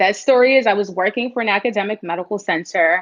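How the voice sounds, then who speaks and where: A woman speaks with a New York accent and ordinary pitch variation. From New York (Bronx). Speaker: startup founder and CEO. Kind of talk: interview answer.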